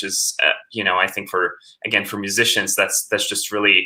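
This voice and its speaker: A man with a Latvian accent at a fairly quick pace. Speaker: composer. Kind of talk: interview. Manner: halting.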